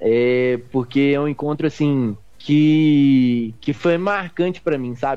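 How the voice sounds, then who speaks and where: Very slow delivery in a dark, mellow tone, its pitch moving in an ordinary way. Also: man, fairly high pitch for a man. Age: 20s. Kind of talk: interview testimony.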